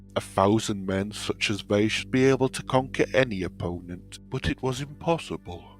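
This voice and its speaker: Music sits in the background while a man with a British accent and a very deep, low pitch speaks at a moderate pace. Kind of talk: audiobook reading.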